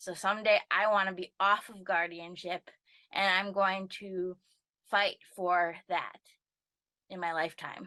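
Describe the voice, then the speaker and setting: A woman with an Upper Midwest accent, medium in pitch, with a bright, sharp tone and fairly even intonation, in a dry, close sound with no echo. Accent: Upper Midwest American. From northern Wisconsin. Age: 20s. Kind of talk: personal testimony. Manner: halting with fillers.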